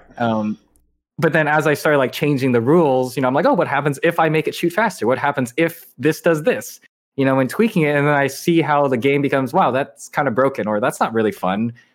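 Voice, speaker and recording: On a very clean recording with a silent background, a man talks at a very fast pace, fairly high in pitch and very even in loudness. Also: ordinary pitch variation. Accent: Californian. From Southern California (Irvine). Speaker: indie game developer. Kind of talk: interview.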